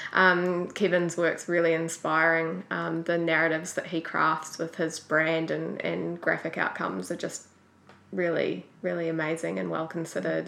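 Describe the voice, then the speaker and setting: A woman speaks with a New Zealand accent. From New Zealand, Auckland. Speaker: graphic designer. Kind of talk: interview.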